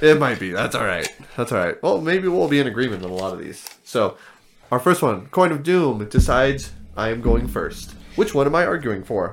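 Vocal fry and very wide pitch swings both mark this man's speech. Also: medium pitch for a man, moderate pace. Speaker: board game podcast co-host. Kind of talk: casual chat.

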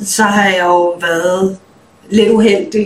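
Fairly slow and fairly even in intonation, the delivery comes in an unremarkable speaking voice. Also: woman. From Denmark. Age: 30s. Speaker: musician. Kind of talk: interview.

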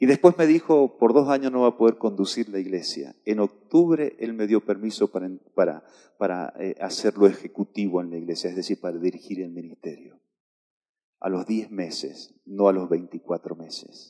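In a dry, close sound with no echo, a man with a fairly low voice talks at a moderate pace with lively intonation. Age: 50s. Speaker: pastor. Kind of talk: sermon. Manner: halting.

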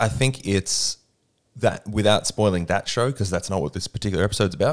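A man with an Australian accent speaks at a fairly low pitch with ordinary pitch variation. The recording is very clean, with a silent background. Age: 30s. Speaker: podcast co-host, movie producer. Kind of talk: casual chat. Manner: animated.

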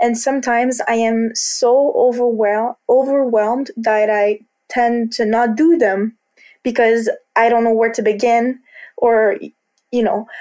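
At a fairly slow pace, a woman speaks in a Quebec accent with fairly even intonation. Her voice is fairly high, with a dark, mellow tone. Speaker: college student. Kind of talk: interview testimony. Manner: halting.

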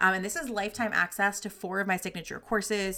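The voice has a bright, sharp tone. It moves at a very fast pace. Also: woman. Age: 30s. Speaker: career coach and podcast host. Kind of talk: solo podcast monologue with sales pitch.

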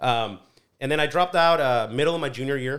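A man with a Spanish accent at a fairly quick pace, on a very clean recording with a silent background. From Mexico (Colima), raised in California's Central Valley from age 11. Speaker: business consultant and CEO. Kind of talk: casual interview.

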